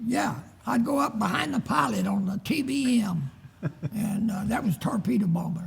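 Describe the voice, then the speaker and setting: A man's high voice moves at a moderate speed with lively intonation, set against noticeable background noise. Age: 80s+. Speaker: World War II veteran. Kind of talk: interview answer. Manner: hesitant.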